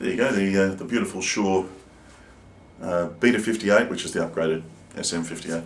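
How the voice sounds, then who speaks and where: With an Australian accent and a very deep, low pitch, a man talks fairly quickly with ordinary pitch variation and long, frequent pauses, in a room with audible echo. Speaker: singer-songwriter. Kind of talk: product review. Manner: casual, hesitant with fillers.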